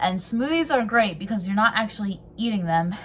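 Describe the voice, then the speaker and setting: This woman's voice is somewhat breathy. Her pitch varies in an ordinary way. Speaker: lifestyle vlogger. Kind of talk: casual vlog talk. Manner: hesitant, many fillers.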